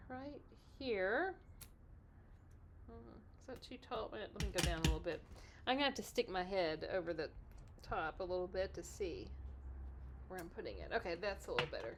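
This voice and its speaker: In a Texas accent, a woman talks at a fairly quick pace, leaving long, frequent pauses, her volume rising and falling sharply. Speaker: card-making crafter. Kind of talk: craft tutorial. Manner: casual, chatty.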